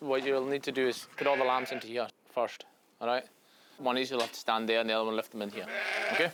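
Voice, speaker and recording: A man with a Hebridean accent, very fast pace with long, frequent pauses, fairly even intonation, and noticeable background noise. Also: medium pitch for a man. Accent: Hebridean Scottish. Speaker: crofter. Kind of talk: instruction.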